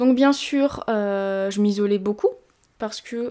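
Her tone dark and mellow, a woman speaks with ordinary pitch variation against a quiet background. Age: 20s. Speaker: fitness youtuber. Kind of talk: personal testimony. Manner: hesitant. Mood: calm, reflective, serious. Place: home room.

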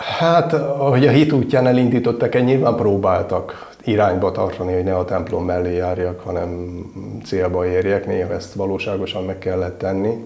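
Here a man speaks at a moderate pace with a fairly low pitch. Audible room echo surrounds his voice. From northern Hungary (Miskolc); Hungary. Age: 50s. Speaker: military chaplain. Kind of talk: interview. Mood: warm, reflective, smiling. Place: home room.

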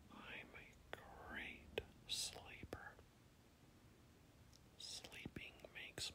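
Someone whispers in a calm tone. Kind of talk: sleep affirmation whisper. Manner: whispered, slow, calm.

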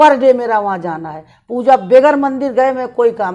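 Her intonation lively and her tone dark and mellow, a woman talks at a fairly slow pace. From eastern Uttar Pradesh, India (Jaunpur); Uttar Pradesh, India. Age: 60s. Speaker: city mayor, politician. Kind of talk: interview. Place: home room.

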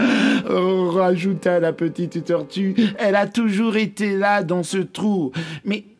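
Someone is reading aloud in a natural voice.

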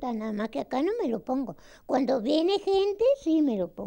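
At a moderate pace, a woman speaks in a dark, mellow tone with very wide pitch swings. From Uruguay. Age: 80s+. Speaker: elderly voter. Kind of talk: interview. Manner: halting.

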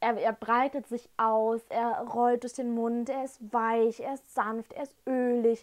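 A woman speaks at a high pitch. Her pace is very slow, and the background is quiet. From Germany, Dresden (Saxony); Saxony, Germany. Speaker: whisky tasting vlogger. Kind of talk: casual tasting vlog. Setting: at home in front of shelf. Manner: animated, enthusiastic. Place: home room. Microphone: lapel.

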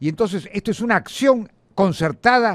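Lively intonation runs through this man's speech, recorded as a dry sound with no echo against a quiet background. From Peru. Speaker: congressman and lawyer; lawyer. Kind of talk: political interview. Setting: studio. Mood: serious, emphatic. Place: studio. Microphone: studio mic.

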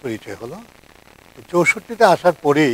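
A man's voice moves in very wide pitch swings, and the sound is dry with no echo. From Bangladesh, Netrokona; Bangladesh. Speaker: journalist and lyricist; journalist. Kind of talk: talk show interview. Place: studio.

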